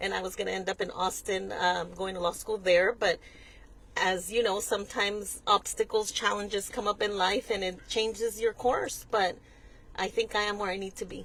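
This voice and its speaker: Using vocal fry and a Mexican accent, a woman speaks at a moderate pace and medium pitch in a monotone, flat intonation. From West Texas (El Paso). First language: Spanish. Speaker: nonprofit executive director. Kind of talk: interview. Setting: in a car.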